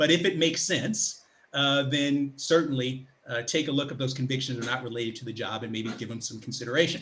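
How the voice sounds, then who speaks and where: This man talks at a fairly quick pace, with big swings in loudness and ordinary pitch variation. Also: medium pitch for a man. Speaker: public speaker and career coach. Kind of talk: online presentation. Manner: fast.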